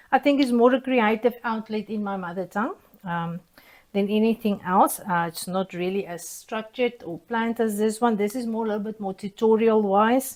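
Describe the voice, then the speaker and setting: A woman with a South African accent, fairly high pitch, ordinary pitch variation, moderate pace and big swings in loudness. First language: Afrikaans. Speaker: soap-making YouTuber. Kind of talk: casual tutorial vlog. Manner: hesitant, many fillers.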